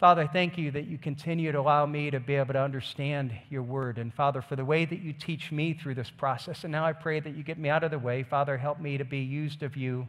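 This man talks at a very fast pace with fairly even intonation. The background is quiet. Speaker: pastor. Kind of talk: sermon. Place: stage. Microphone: headset.

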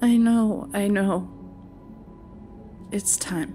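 Over clear background music, a woman performs a put-on character voice that sounds shaky. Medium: audio drama.

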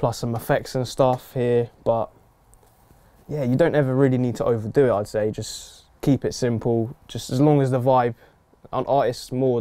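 With a dark, mellow tone and fairly even intonation, a man speaks at a moderate pace. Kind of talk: casual tutorial talk. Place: studio.

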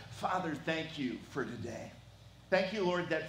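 Over light background noise, audible room echo surrounds the man as he talks. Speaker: pastor. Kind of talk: sermon welcome and prayer. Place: church. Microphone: headset.

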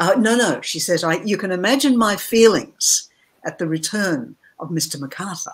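With an Australian accent, this speaker talks at a moderate pace. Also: woman. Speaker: novelist; interviewee. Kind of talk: interview. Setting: video call. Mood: calm, reflective. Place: home room.

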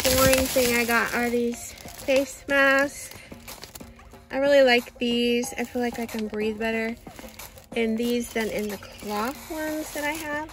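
Noticeable background noise is present. The delivery unfolds at a fairly slow pace. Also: dry sound with no echo. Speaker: shopping vlogger. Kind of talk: casual haul vlog chat. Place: car. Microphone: phone near.

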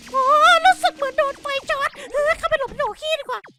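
Pitched extremely high, a man's voice is a put-on character voice. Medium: dub. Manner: playful, excitable.

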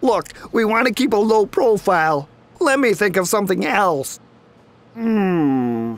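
In a put-on character voice pitched fairly high, the speaker leaves long, frequent pauses. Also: fairly slow pace.

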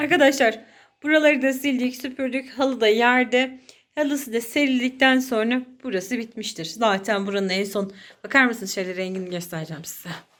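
A woman speaks with a high pitch at a moderate pace. Her intonation is lively. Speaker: vlogger. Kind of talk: casual talk to camera.

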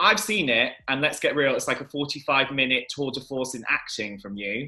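Bright and sharp in tone, a man speaks at a moderate pace with lively intonation. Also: fairly high pitch for a man, quiet background. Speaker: chat show host. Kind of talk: celebrity interview host. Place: home room. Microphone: webcam.

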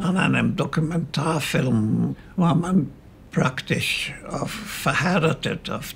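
Music plays in the background as a man speaks at a very slow pace and a fairly high pitch. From Austria. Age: 80s+. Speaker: cinematographer and photographer. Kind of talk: documentary interview answer. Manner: humorous.

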